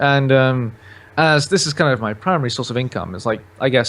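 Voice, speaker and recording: Speaking at a fairly quick pace with a British accent, the voice has ordinary pitch variation. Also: man. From southern England, Oxfordshire. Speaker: gaming YouTuber. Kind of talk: casual chat.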